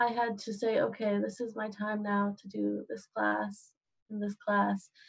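A woman's fairly high, somewhat breathy voice with an American accent, fairly slow, against a quiet background. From Eastern Washington State. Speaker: college student ambassador. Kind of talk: casual Q&A panel. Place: home room. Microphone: webcam.

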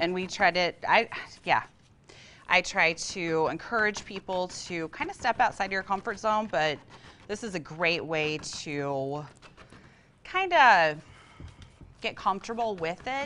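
This speaker has an American accent, lively intonation and a fairly slow pace with long, frequent pauses. Light background noise sits behind the voice. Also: woman. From US Midwest (western Illinois). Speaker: art teacher. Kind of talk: studio interview and painting demonstration. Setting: TV studio. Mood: warm, enthusiastic. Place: studio. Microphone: lapel.

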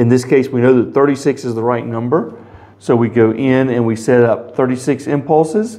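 A man is speaking at a moderate pace. His intonation is fairly even. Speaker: product demonstrator. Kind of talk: tutorial. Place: office.

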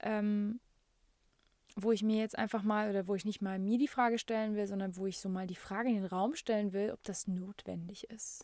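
Her voice has a dark, mellow tone and fairly even intonation. The woman is heard in a very clean recording against a silent background. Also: medium pitch for a woman, moderate pace. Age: 30s. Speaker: podcast host and music coach. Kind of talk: casual solo podcast monologue. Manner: many fillers, laughs often.

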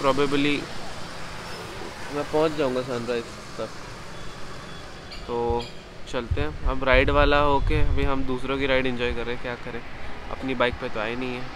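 This man talks at a moderate pace, with little pitch movement. He leaves long, frequent pauses over clear background noise. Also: medium pitch for a man.

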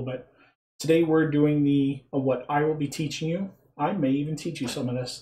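A man talks at a moderate pace in a somewhat breathy voice. His tone is dark and mellow, and his intonation is monotone and flat. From England. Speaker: clog dance instructor. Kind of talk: tutorial.

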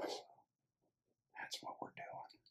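A man whispers in a soft-spoken way. Light background noise can be heard. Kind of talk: casual build commentary. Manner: soft ASMR whisper while building.

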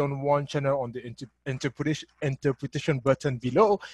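A man speaks with a somewhat breathy voice. The sound is dry with no echo, over a quiet background. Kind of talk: event hosting address. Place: office. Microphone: webcam.

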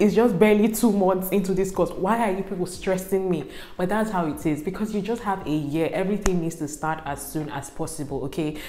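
A woman talks at a fairly quick pace with hardly any pauses and ordinary pitch variation, with audible room echo. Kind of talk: casual vlog chat. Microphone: lapel.

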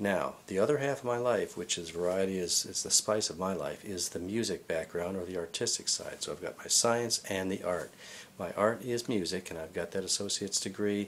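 A man talks in a plain, everyday voice, pitched fairly low. He moves at a fairly quick pace with hardly any pauses over light background noise. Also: ordinary pitch variation. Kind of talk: self-introduction monologue. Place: home room. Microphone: webcam.

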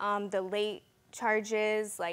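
At a very slow pace, a woman speaks at a medium pitch in a clear, smooth tone.

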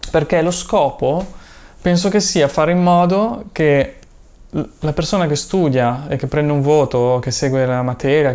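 A man with a fairly high voice keeps a moderate pace and ordinary pitch variation. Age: 30s. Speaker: YouTuber and online seller; YouTuber, online seller. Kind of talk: personal vlog monologue. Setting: room full of inventory boxes. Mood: thoughtful, personal. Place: home room.

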